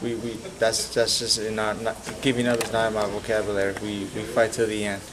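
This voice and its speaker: Noticeable background noise and audible room echo fill the recording. A man speaks in a monotone, with flat intonation. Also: fairly quick pace. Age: 30s. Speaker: professional boxer. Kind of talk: press interview. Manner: hesitant, many repetitions.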